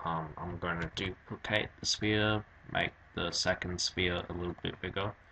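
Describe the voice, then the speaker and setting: A man speaks at a moderate pace in a very deep, low voice with a monotone, flat delivery. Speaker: 3D animation tutor. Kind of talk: software tutorial narration.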